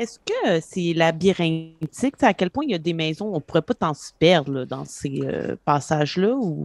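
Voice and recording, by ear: A woman speaks at a moderate pace with low pitch and lively intonation. Her tone is slightly mellow, and the sound is dry and close with no echo.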